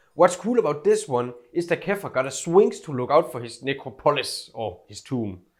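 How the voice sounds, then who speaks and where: A man speaks at a moderate pace with a Scandinavian accent while music plays in the background. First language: Scandinavian language. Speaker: YouTuber. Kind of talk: casual scripted video narration. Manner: casual, filler-heavy.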